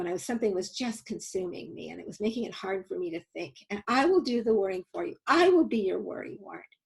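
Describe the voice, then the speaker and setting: Her voice is squeaky. The woman's pitch swings very widely. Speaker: nonprofit founder and safety educator. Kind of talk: webinar presentation. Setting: online webinar.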